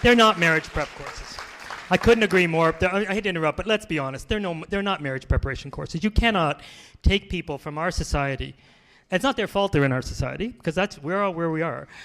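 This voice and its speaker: With a Canadian accent, a man talks at a very fast pace in a high pitch, his bright, sharp tone animated and his pitch variation ordinary. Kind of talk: lecture; audience Q&A. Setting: conference with audience.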